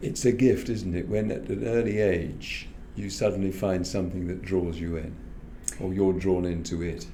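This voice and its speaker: In an English accent, a man with a very deep, low pitch speaks at a moderate pace with ordinary pitch variation, amid audible room echo. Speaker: podcast host. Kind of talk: interview.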